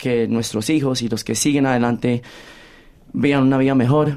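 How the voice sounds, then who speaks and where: This is a man with an ordinary speaking voice at a medium pitch. He talks at a moderate pace with fairly even intonation. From Australia, Colombian-born. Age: 20s. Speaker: musical theatre actor. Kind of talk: interview. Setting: studio.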